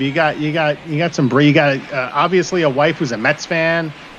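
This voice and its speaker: There is noticeable background noise behind this speaker. He is a man with an American accent and a fairly high pitch, talking at a moderate pace. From New York City, the Bronx. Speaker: baseball broadcaster. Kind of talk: live commentary. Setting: online live stream.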